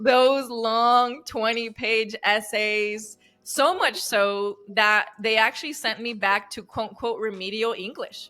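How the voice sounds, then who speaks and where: A woman with a fairly high voice speaks very slowly, with hardly any pauses and fairly even intonation, over music in the background. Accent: Spanish. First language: Spanish. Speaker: relationship coach. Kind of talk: interview.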